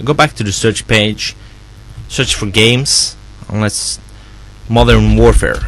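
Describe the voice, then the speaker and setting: A man with a non-native accent at a moderate pace. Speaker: software developer. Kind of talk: software tutorial walkthrough. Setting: background noise. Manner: unrehearsed, casual.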